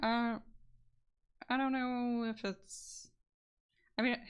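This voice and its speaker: A soft-spoken woman talks at a very slow pace. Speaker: streamer. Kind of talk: casual chat. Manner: flat-toned; halting.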